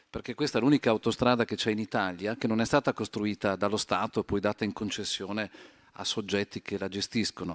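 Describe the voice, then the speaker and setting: A man with a fairly low pitch and fairly even intonation speaks at a very fast pace in a very clean, dry, close recording with a silent background and no echo. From Italy, Trento. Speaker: highway company executive. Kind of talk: panel discussion. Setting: conference stage.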